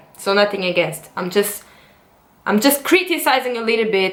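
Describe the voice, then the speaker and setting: With a non-native accent, a woman talks at a moderate pace in an animated tone. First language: not English. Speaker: dancer and vlogger. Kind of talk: vlog monologue.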